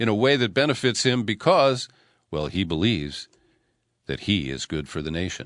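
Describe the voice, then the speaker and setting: A man's voice with vocal fry and very wide pitch swings, moderate in pace, dry and close with no echo, over a quiet background. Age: 60s. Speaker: radio host and political commentator. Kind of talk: news commentary.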